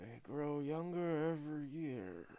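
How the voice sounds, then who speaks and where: A man puts on a character voice that is raspy and growling, at a fairly high pitch. He talks at a fairly slow pace. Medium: read story. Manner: halting, fragmentary, slow.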